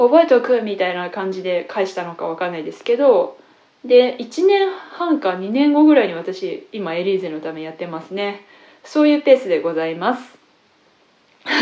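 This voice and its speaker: A woman with a medium pitch speaks at a moderate pace. Her voice makes very wide pitch swings and big swings in loudness. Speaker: classical guitarist and teacher. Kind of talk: casual radio-style talk.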